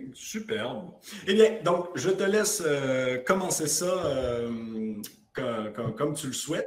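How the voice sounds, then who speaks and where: Speaking at a very slow pace with long, frequent pauses, a man with a slight Quebec accent and a fairly high pitch makes very wide pitch swings, over noticeable background noise and audible room echo. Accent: light Quebec. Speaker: app founder, podcast host. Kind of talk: podcast interview. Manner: hesitant, many fillers.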